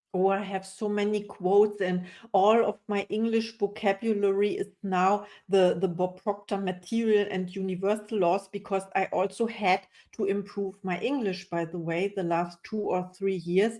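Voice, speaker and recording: With a non-native accent, a woman speaks at a moderate pace and medium pitch, her intonation monotone and flat and her tone dark and mellow. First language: not English. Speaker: coach. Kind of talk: interview.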